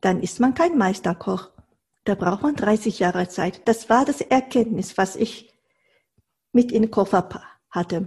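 A woman speaks at a fairly slow pace in a medium pitch, her somewhat breathy voice showing ordinary pitch variation and long, frequent pauses. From Japan, Tokyo. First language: Japanese (speaking German). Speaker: Japanese cooking teacher. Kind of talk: interview.

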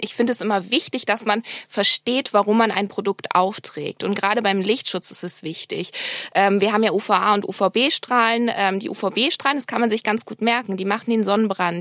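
A woman with a normal speaking voice talks at a moderate pace and a fairly high pitch. The sound is dry and close, with no echo. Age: 30s. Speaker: medical cosmetician. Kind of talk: interview.

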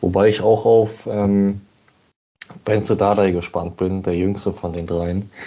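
Very slow and monotone, a man delivers his lines with flat intonation in a very deep, low voice. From Berlin. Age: 20s. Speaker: football fan, podcast guest. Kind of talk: casual chat.

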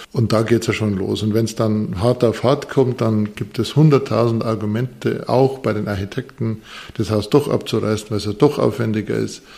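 With vocal fry and fairly even intonation, a man speaks at a medium pitch and a moderate pace. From Bavarian Forest, Bavaria. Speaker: architect and professor. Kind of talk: interview. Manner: hesitant, many fillers and repetitions.

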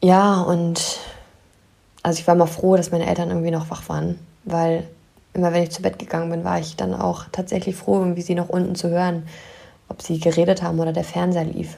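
A woman talks at a fairly quick pace in a fairly low, flat monotone. Her speech has long, frequent pauses. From northern Germany, near Wolfsburg. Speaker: life coach and podcast host. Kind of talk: solo podcast monologue.

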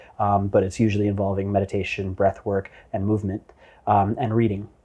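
A man's fairly low, dark, mellow voice with a Canadian accent, at a fairly quick pace. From Canada, Vancouver. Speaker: entrepreneur. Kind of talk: interview conversation. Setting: in person at guest's venue.

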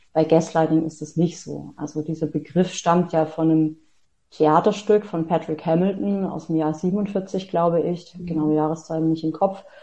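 Her unremarkable speaking voice sits at a fairly low pitch for a woman, with fairly even intonation and a moderate pace. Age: 40s. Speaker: author and self-empowerment coach. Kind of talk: interview.

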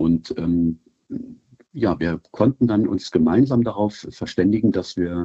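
Moderate pace with ordinary pitch variation. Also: man. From Germany, Wolfsburg (Lower Saxony). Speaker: football club fan liaison. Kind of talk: interview. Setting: remote call. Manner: halting, many fillers.

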